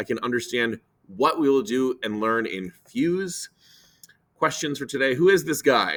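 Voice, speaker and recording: A man's fairly high voice with vocal fry and lively intonation. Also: very clean recording, silent background. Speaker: teacher. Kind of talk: classroom instruction video. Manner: fast.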